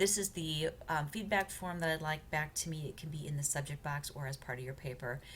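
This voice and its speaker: A woman with a very deep, low voice and vocal fry speaks at a fairly quick pace amid audible room echo. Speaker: college writing instructor. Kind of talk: recorded lecture walkthrough. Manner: fast; hesitant, many fillers.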